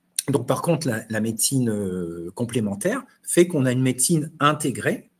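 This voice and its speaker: A man talks at a medium pitch and a moderate pace. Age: 60s. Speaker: immunopharmacology professor and chef. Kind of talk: online webinar discussion. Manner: hesitant, repeats words.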